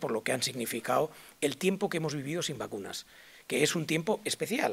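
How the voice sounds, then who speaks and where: A man with vocal fry and a fairly high pitch talks at a very fast pace with ordinary pitch variation. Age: 60s. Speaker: public health expert. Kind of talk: conference lecture. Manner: hesitant, many fillers.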